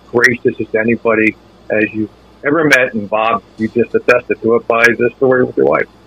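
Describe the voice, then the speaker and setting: A man at a medium pitch and moderate pace, with fairly even intonation, a dry, close sound with no echo, and noticeable background noise. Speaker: sports radio anchor. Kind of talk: casual chat.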